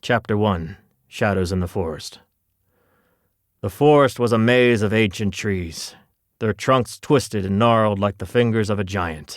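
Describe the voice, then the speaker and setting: A man at a fairly slow pace, with ordinary pitch variation and long, frequent pauses, on a very clean recording with a silent background. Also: fairly low pitch for a man. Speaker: audiobook narrator. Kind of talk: children's audiobook narration. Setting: studio.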